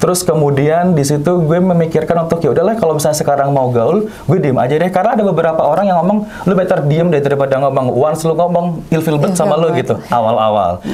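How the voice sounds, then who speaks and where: A man with a fairly high pitch speaks at a very fast pace. He hardly pauses, and background noise is noticeable. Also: ordinary pitch variation, very even loudness. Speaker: news anchor and radio announcer. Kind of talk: interview answer.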